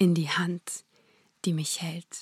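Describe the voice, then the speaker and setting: A woman speaks very slowly in an intense, dramatic tone, her voice somewhat breathy. The sound is dry and close, with no echo. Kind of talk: poetry slam performance, spoken-word verse with rhymes, heartfelt and prayerful. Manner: intense, rhythmic, emotional delivery with dramatic pauses.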